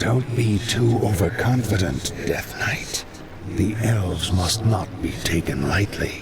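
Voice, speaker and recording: Loud background noise sits behind a man using a put-on character voice. It is fairly low-pitched and fairly slow. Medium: machinima. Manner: cunning, conspiratorial.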